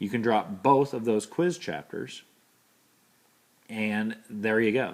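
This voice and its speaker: A man with a medium-pitched voice talks fairly slowly. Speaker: university instructor. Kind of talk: recorded lecture. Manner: casual.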